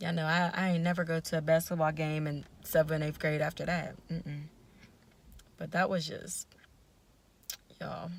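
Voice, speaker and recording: This woman's voice sits at a fairly low pitch and moves at a moderate pace. She leaves long, frequent pauses. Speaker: vlogger. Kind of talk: casual storytelling vlog. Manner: animated.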